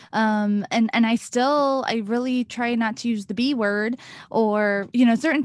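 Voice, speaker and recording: With an American accent, a woman speaks in a normal speaking voice at a moderate pace against a quiet background. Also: dry, close sound with no echo. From US small town. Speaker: podcast host, abuse awareness speaker. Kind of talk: interview.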